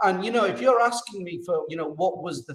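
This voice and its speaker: Lively intonation and a fairly quick pace from a man with a British accent. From UK. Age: 50s. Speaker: expat interviewee. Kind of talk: casual interview conversation. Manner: animated.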